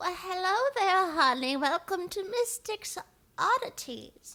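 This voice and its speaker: A female-sounding voice is put on as a character voice. It is extremely high-pitched and fairly slow. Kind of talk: warm, chatty.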